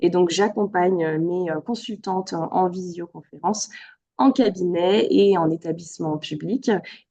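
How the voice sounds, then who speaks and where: A woman's fairly low, dark and mellow voice at a fairly slow pace, with ordinary pitch variation. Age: 30s. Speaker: yoga therapist. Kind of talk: interview. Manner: hesitant, many fillers.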